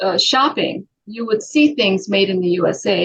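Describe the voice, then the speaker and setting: A woman's pitch swings very widely. Vocal fry runs through her speech. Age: 60s. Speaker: wellness product advocate. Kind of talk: casual interview chat. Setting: video call.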